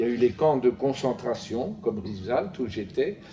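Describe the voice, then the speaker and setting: Noticeable background noise surrounds a man speaking at a fairly slow pace with very wide pitch swings. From France, Paris. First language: Yiddish (speaking French). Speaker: Holocaust survivor giving testimony. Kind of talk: testimony. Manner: halting, with frequent hesitations.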